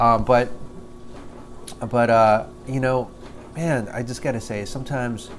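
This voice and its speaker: A man mumbles at a fairly slow pace with long, frequent pauses. His pitch is medium and his intonation fairly even, with audible room echo. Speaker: vlogger. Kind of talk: video diary monologue. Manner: halting, many fillers; mumbling.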